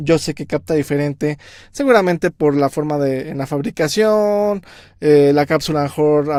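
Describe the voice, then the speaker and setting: A man with a fairly high voice talks at a moderate tempo. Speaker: music producer. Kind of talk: tutorial. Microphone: picks up room sound when far.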